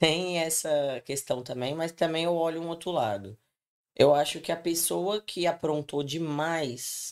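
A woman talks at a fairly slow pace in a normal speaking voice. Her pitch is fairly low, with ordinary pitch variation. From Brazil, Espírito Santo. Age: 20s. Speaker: podcast guest. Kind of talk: casual chat.

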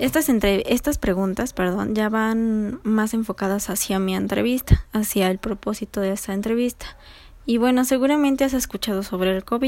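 A normal speaking voice from a woman, fairly high in pitch with ordinary pitch variation, at a moderate pace in a very clean recording with a silent background. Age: 20s. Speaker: psychology student interviewer. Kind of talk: research interview.

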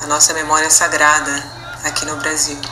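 Noticeable background noise surrounds a woman with a very deep, low pitch. She speaks at a moderate pace. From Brazil, Minas Gerais. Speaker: artist and cultural producer. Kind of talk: podcast interview. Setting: at home.

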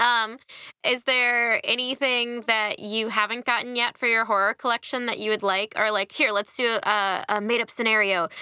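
This woman has a fairly high pitch and a bright, sharp, upbeat, enthusiastic tone at a moderate pace. Her loudness is very even, and the recording is very clean with a silent background and a dry, close sound with no echo. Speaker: podcast host. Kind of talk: casual interview.

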